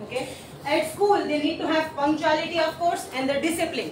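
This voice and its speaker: Loud and at a moderate pace, a woman speaks over noticeable background noise with audible room echo. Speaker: school teacher. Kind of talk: presentation to colleagues and judges.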